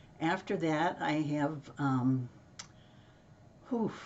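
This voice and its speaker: The voice belongs to a woman. It sits very deep and low in pitch. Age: 90s. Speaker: product enthusiast sharing routine. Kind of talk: casual testimonial walkthrough.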